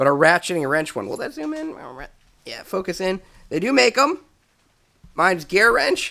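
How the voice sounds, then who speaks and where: On a very clean recording with a silent background, a man with a high pitch uses a raised, projected voice and a bright, sharp tone, moving at a moderate pace through very wide pitch swings, big swings in loudness, and long, frequent pauses. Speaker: car mechanic DIY youtuber. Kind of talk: tutorial. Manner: casual.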